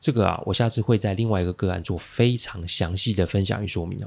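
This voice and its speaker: In a very clean recording with a silent background, a man with a Taiwanese accent speaks in a serious tone. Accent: Taiwanese Mandarin. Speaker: podcast host, crisis management consultant. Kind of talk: monologue, case analysis. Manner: low, serious tone today.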